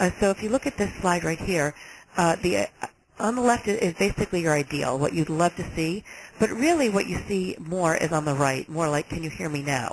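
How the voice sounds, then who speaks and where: The intonation is lively, even with noticeable background noise in the mix. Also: woman, fairly low pitch for a woman. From New York. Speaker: health agency director. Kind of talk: webinar presentation. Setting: webinar. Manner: fast.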